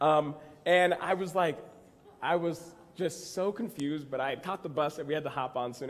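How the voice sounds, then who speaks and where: This man's voice sits at a fairly high pitch, with ordinary pitch variation. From Texas. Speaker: actor and comedy writer. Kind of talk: conference talk. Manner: casual, humorous storytelling.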